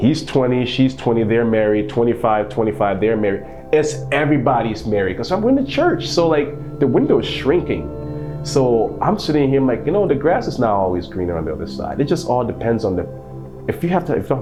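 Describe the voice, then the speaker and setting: With music in the background and audible room echo, a medium-pitched man talks at a fairly quick pace with very wide pitch swings. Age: 30s. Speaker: podcast host. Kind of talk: casual interview chat.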